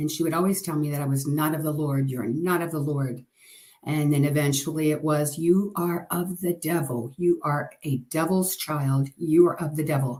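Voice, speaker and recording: Speech comes at a moderate speed. The intonation remains fairly even throughout. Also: woman. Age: 60s. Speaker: testimony sharer. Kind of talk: testimony.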